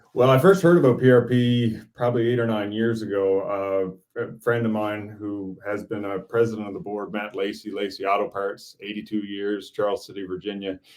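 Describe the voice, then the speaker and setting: A normal speaking voice with fairly even intonation. The pace is fairly quick. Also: man, very clean recording, silent background. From Newfoundland, Canada. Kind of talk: interview. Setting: live video stream.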